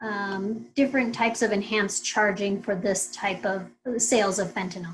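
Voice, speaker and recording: A woman with a medium-pitched voice and vocal fry speaks at a moderate pace with ordinary pitch variation. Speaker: town hall moderator. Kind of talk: reading audience questions. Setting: video call.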